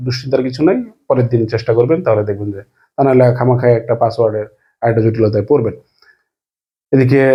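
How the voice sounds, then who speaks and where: Here a man speaks at a medium pitch. His voice is somewhat breathy, with fairly even intonation. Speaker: news video host. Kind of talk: news commentary to camera.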